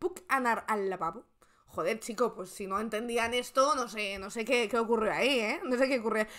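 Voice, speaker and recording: A woman's animated tone at a moderate pace against a quiet background. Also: ordinary pitch variation. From Spain. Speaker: political commentary streamer. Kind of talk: casual live stream chat. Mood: sarcastic, joking. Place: home room.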